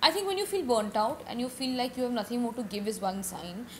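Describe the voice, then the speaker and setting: A woman talks at a fairly quick pace with a fairly high pitch. Noticeable background noise runs under her voice. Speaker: podcast guest, from a family of singers and actors. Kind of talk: casual interview chat.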